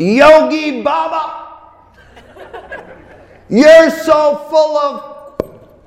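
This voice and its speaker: Shouting in a shrill, put-on character voice, the speaker goes very slowly with long, frequent pauses and slight echo. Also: man, extremely high pitch for a man. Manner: yelling.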